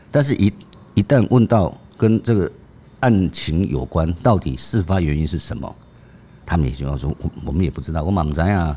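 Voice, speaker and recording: A man with a very deep, low pitch and a dark, mellow tone speaks at a fairly quick pace with vocal fry. His pitch swings very widely, and he takes long, frequent pauses. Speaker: veteran crime reporter, co-host. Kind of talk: storytelling in conversation.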